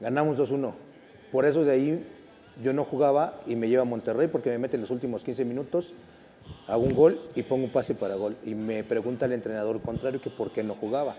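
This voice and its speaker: A man talks at a fairly quick pace with ordinary pitch variation. Light background noise can be heard. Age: 50s. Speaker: former footballer; guest. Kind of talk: casual chat. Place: studio. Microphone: lapel.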